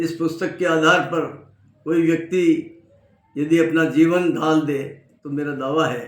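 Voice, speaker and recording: A man speaks with a fairly high pitch and a monotone, flat intonation. Room echo is audible. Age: 70s. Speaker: lawyer and health book author. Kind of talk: self-introduction and book promotion. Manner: formal.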